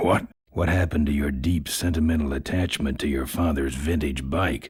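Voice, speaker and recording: In a put-on character voice, a man sounds raspy and very deep, with fairly even intonation. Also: moderate pace, very even loudness. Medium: video game. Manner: gruff, laconic, deadpan.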